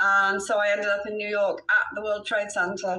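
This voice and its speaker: Over noticeable background noise, a woman with an English accent and a fairly high pitch talks at a moderate pace. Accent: British, more English than Welsh. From Wales. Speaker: real estate broker. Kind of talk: interview.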